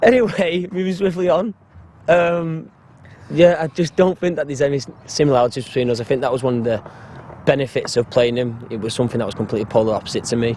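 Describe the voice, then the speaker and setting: Over noticeable background noise, a man talks at a very fast pace with lively intonation and a fairly high pitch. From Salford, Greater Manchester, England. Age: 20s. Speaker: actor. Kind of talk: casual interview.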